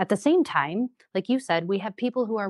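With an Upper Midwest accent, a woman speaks at a fairly quick pace. Her pitch varies in an ordinary way. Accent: Upper Midwest American. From Wisconsin Rapids, Wisconsin, USA. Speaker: city council candidate, project manager. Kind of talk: interview answer.

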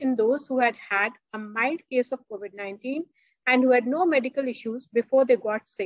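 A woman's high-pitched voice at a moderate pace, dry with no echo, over a quiet background. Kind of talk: lecture.

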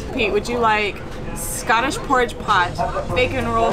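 Over loud music in the background, a woman talks at a fairly quick pace. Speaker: travel vlogger. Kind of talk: casual vlog chat. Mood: cheerful, excited. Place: train. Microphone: phone near.

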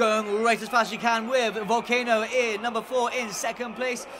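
This man's voice sits at an extremely high pitch, raised and projected with an animated, energetic tone over noticeable background noise. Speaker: horse race commentator. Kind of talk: live race commentary for a virtual horse racing game, played as a mock race call. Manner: fast, building excitement, animated and rising in pitch toward the finish; stock commentator phrases, fluent and energetic.

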